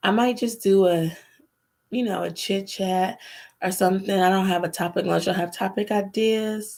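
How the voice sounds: A woman's medium-pitched voice, slightly mellow in tone, with vocal fry, fairly even intonation and a moderate pace.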